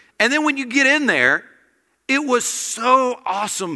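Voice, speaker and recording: In a raised, projected voice, a man with an American accent speaks fairly slowly at an extremely high pitch, his tone bright and sharp. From small-town US. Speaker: guest preacher. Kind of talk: sermon. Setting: church. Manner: animated.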